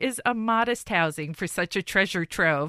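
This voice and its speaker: On a very clean recording with a silent background, a woman speaks in a bright, sharp tone with ordinary pitch variation. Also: dry, close sound with no echo. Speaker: librarian. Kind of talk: casual chat. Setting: studio.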